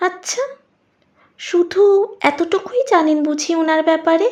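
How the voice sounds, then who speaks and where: A put-on character voice speaks at a very slow pace. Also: woman, extremely high pitch for a woman. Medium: audio drama. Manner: soft, insinuating, knowing.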